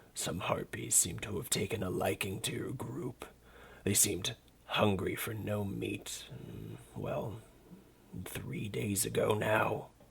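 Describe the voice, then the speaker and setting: In a put-on character voice, raspy and rumbling, the speaker moves at a fairly slow pace with long, frequent pauses. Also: man, fairly low pitch for a man. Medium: read story. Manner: curt, dry, superior.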